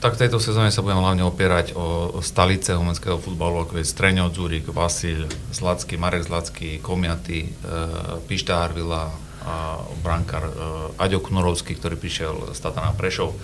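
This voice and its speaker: A man's very deep, low voice at a moderate pace, with ordinary pitch variation, audible room echo and noticeable background noise. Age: 40s. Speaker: football coach. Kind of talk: radio interview. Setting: radio studio.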